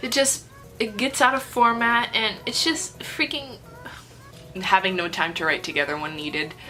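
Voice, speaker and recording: With music in the background, a woman speaks in an animated tone at a fairly high pitch. Her voice makes very wide pitch swings. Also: moderate pace. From Brazil. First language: Portuguese. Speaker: author and YouTuber. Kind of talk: casual chat.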